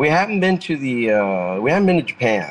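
With a Spanish accent, this man's voice rises and falls with ordinary pitch variation. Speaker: metal guitarist. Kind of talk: casual interview chat. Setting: remote call from his car.

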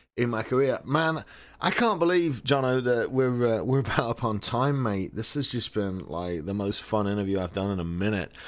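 A man with an American accent speaks in an ordinary speaking voice at medium pitch, with lively intonation and a moderate pace. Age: 40s. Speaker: podcast host. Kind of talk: casual chat.

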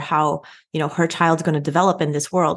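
A woman with a normal speaking voice, fairly low in pitch, with fairly even intonation and a fairly quick pace. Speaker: PhD researcher and co-host. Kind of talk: interview.

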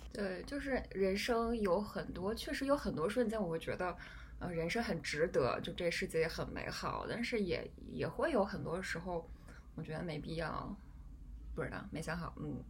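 Lively intonation marks this woman's medium-pitched voice as she talks at a moderate pace, with audible echo in the room. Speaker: podcast host. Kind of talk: casual chat. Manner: halting.

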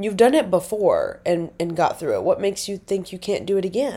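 A woman with an American accent speaks at a moderate pace and medium pitch in a dark, mellow tone. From Nebraska. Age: 20s. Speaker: podcaster. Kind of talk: casual monologue. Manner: rambling, chatty.

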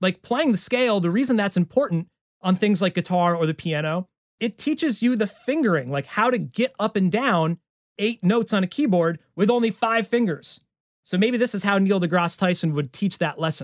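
A man with an American accent speaks at a moderate pace in a high pitch, his intonation lively. The recording is very clean, with a silent background and a dry, close sound free of echo. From central New York. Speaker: parody songwriter and YouTuber. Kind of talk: casual chat.

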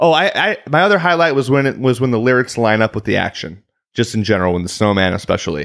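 In a very clean recording with a silent background, a man with a Chicago accent talks at a very fast pace with very wide pitch swings. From US Midwest, Chicago area. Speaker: podcast co-host. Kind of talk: casual chat.

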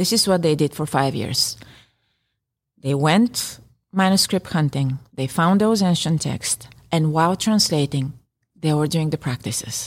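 A woman with a Bulgarian accent speaks at a fairly slow pace, her pitch very deep and low. Her intonation is lively, broken by long, frequent pauses. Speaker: yoga teacher and health psychology PhD. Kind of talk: interview discussion. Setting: in-person at yoga studio. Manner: hesitant, many fillers.

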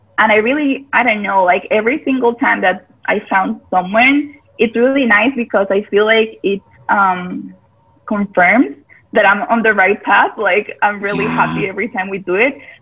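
This woman talks with a Spanish accent. Her voice is fairly high, with ordinary pitch variation. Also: moderate pace. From Costa Rica. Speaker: yoga teacher. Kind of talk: casual interview.

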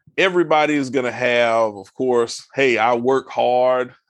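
A man with an American accent talks at a fairly slow pace in an unremarkable speaking voice. His pitch sits in the medium range, with ordinary pitch variation. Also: quiet background. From US South, southeast Georgia. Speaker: financial advisor. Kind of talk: interview.

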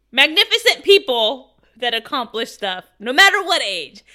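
Projecting her raised voice, a woman uses a high pitch and a bright, sharp tone, with very wide pitch swings. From Mexican-American. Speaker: podcast co-host. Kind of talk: casual chat.

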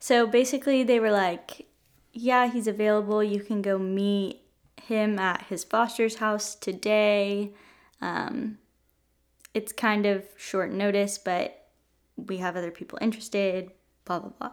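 Using a normal speaking voice, a woman talks fairly slowly at a medium pitch with fairly even intonation. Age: 20s. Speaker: host's wife. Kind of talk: casual chat.

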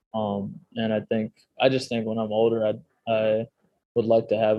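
The speaker is a man with an American accent. He talks at a medium pitch. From Chicago area, US Midwest. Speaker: strength and conditioning coach. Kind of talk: podcast interview.

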